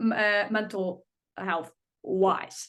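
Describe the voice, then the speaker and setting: A woman with an Icelandic accent speaks at a very slow pace. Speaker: singer. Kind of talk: interview. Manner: halting.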